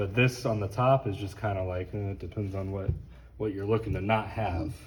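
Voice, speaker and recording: The intonation stays fairly even. The voice sounds somewhat breathy. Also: man, fairly low pitch for a man. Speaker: sound technician. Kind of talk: tutorial. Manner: casual, conversational.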